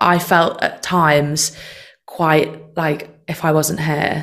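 Using a Mancunian accent, a woman talks in a very deep, low pitch with vocal fry and monotone, flat intonation. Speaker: session singer. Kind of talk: casual chat.

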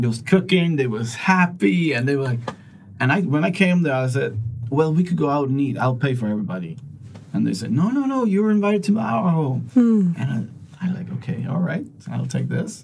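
A fairly high-pitched man talks at a fairly quick pace, his pitch swinging very widely. Noticeable background noise and audible room echo surround him. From Sweden. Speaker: sales coach and inspirational speaker. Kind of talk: interview.

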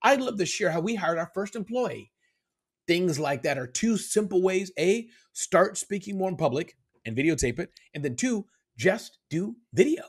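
A man speaks with a high pitch and very wide swings in his pitch. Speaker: business speaker and author. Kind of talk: podcast interview. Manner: fast talker; stumbles over words.

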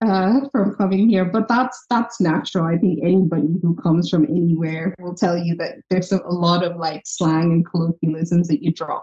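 The voice is dark and mellow, somewhat breathy, moving at a moderate pace with hardly any pauses and ordinary pitch variation. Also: woman, fairly low pitch for a woman. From Ireland. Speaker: health tech company founder. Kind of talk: podcast interview.

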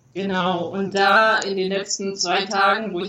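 Medium-pitched female voice with monotone, flat intonation, audible room echo and noticeable background noise. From Thuringia, eastern Germany. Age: 30s. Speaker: emigrant, blogger. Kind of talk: casual interview.

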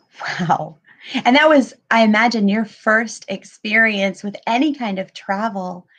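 A woman with an American accent uses an ordinary speaking voice, fairly high in pitch, with ordinary pitch variation at a fairly slow pace. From US South (Pensacola, Florida). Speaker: podcast host, writing coach. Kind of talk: interview.

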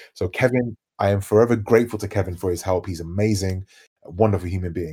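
A man talks at a fairly quick pace in a London accent, his fairly low voice dark and mellow with ordinary pitch variation. He sounds somewhat breathy. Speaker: DJ and radio host. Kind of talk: casual chat. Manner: positive, easygoing.

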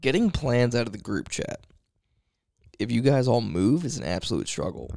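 A man speaks fairly slowly with lively intonation and some vocal fry. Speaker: podcast co-host. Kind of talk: casual chat.

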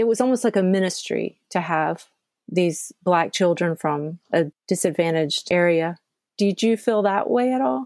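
A woman with a normal speaking voice at a moderate pace, lively intonation and very even loudness, in a dry, close sound with no echo. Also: fairly low pitch for a woman. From US South, Georgia. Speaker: podcast host. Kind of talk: casual conversation.

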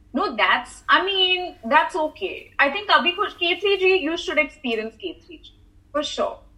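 A woman's raised, projected voice at an extremely high pitch, with very wide pitch swings and a fairly slow pace. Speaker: content creator. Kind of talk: casual interview.

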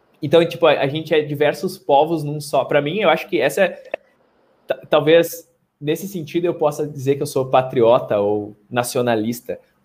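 A man is speaking at a fairly high pitch. His voice is somewhat breathy. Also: ordinary pitch variation, moderate pace. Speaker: podcast host. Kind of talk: casual chat.

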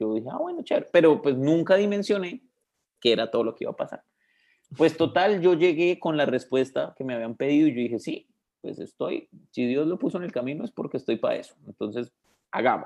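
A man speaks at a fairly quick pace, his pitch fairly high. He has an ordinary speaking voice. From Colombia, Bogotá. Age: 20s. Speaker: religious brother. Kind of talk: interview.

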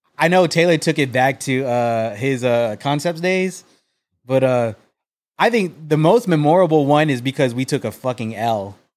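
A man with an American accent speaks at a moderate pace in an ordinary speaking voice, his pitch fairly high and his intonation lively, on a very clean recording with a silent background. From Texas, San Antonio. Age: 30s. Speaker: sneaker content creator. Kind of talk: casual chat.

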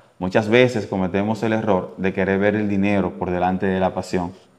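A man talks at a moderate pace in an unremarkable speaking voice. His pitch is fairly low. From Dominican Republic, Santiago. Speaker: radio host and producer. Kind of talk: casual interview. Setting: studio.

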